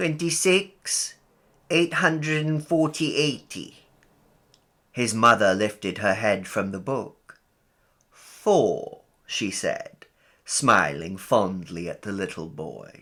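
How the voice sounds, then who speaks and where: A man speaks very slowly with long, frequent pauses and very wide pitch swings. His tone is bright and sharp, with vocal fry. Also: fairly high pitch for a man. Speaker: audiobook narrator. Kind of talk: short story audiobook reading.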